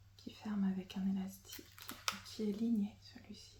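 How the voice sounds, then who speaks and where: Over noticeable background noise, a woman speaks slowly-ish at a fairly slow pace, with a medium pitch and monotone, flat intonation. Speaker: ASMR creator. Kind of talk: ASMR roleplay as a stationery shop assistant. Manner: whispered, soft-spoken.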